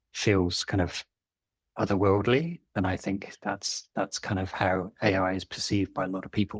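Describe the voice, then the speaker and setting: A man with a British accent at a fairly low pitch, dry and close with no echo, on a very clean recording against a silent background. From Britain. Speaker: engineering leadership coach. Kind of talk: interview podcast.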